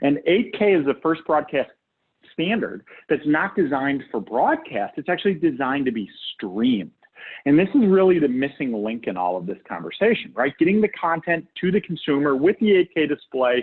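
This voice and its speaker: A man speaks at a moderate pace in an American accent. His fairly high voice moves in very wide pitch swings. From United States. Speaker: guest presenter on AV fiber optics. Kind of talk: webinar presentation. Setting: online webinar. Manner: conversational, frequent fillers like okay and right.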